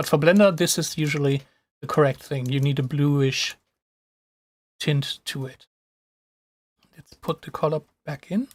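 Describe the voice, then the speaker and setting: In a very clean recording with a silent background and a dry, close sound with no echo, a man with a non-native accent and a fairly high pitch talks at a moderate pace, somewhat breathy, with long, frequent pauses. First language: not English. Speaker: software tutorial streamer. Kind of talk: live tutorial. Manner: casual, with hesitations and restarts.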